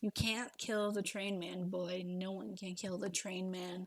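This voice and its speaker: Putting on a character voice, a woman speaks at a fairly slow pace. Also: medium pitch for a woman. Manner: bellowing, taunting.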